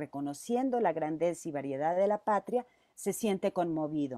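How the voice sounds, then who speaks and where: Against a quiet background, a woman's dark, mellow voice sounds dry with no echo as her pitch swings very widely. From Mexico, Zacatecas. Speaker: teacher. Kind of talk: presentation. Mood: warm, reminiscing. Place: home room. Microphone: earbuds.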